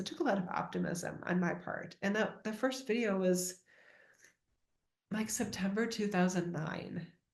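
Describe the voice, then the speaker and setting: A somewhat breathy woman's voice at medium pitch, with ordinary pitch variation and audible room echo. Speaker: spiritual teacher. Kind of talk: spiritual talk. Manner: casual, rambling with fillers.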